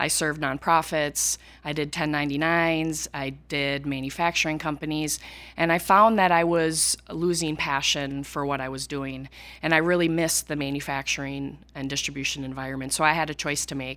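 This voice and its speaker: A woman speaks with a very deep, low pitch and fairly even intonation at a moderate pace. The recording is very clean with a silent background. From rural Minnesota, US. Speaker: accountant specializing in manufacturing. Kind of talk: interview.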